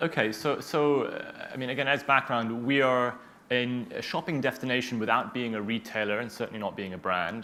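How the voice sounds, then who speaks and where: In a normal speaking voice, a man with an American accent talks at a medium pitch and fairly quick pace with fairly even intonation. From United States. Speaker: tech company founder. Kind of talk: panel interview.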